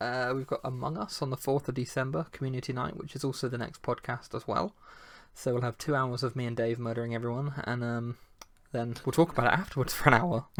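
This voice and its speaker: Soft-spoken and very fast, a man talks at a medium pitch with fairly even intonation. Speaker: gaming community founder and podcast host. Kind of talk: casual chat. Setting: live stream. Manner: quiet.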